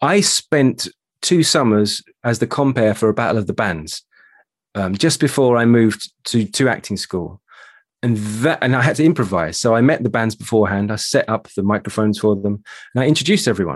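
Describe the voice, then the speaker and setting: A man with a British accent talks at a medium pitch, his intonation lively. The sound is dry and close, with no echo. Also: fairly quick pace, quiet background. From London, England. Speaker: voice coach and actor. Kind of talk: interview.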